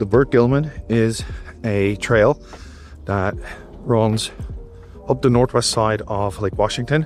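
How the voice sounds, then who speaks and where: Music plays behind a man speaking very slowly with an Irish accent. He takes long, frequent pauses, and his pitch varies in an ordinary way. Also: medium pitch for a man. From Dublin, Ireland. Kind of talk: travel vlog narration.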